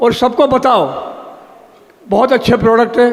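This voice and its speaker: There is noticeable background noise as a man speaks at an extremely high pitch. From Gujarat, Dahod. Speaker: product testimonial giver. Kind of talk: testimony.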